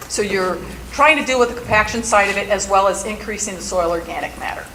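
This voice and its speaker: Lively intonation marks this woman's speech. There's noticeable background noise and audible room echo. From Milwaukee, Wisconsin, US Midwest. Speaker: soil scientist, stormwater educator. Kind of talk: conference presentation. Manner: fast.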